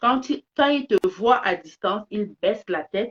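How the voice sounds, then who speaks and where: Speaking with a Cameroonian accent, a woman uses lively intonation. The sound is dry and close, with no echo. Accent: Cameroonian French accent, kept on purpose. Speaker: live streamer, business commentator. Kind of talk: live stream monologue. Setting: phone live stream. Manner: animated; repetitive stammering restarts.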